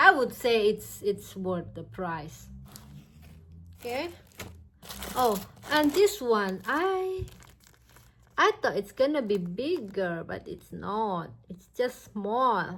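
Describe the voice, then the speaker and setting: A woman speaks very slowly with a non-native accent and long, frequent pauses. Her loudness swings widely. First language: not English. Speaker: crochet YouTuber. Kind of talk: product review vlog. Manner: halting.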